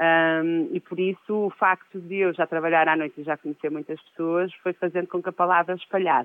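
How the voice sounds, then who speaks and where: A woman's fairly low voice at a fairly quick pace, monotone and flat in intonation, with hardly any pauses. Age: 40s. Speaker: DJ. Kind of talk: interview, casual chat.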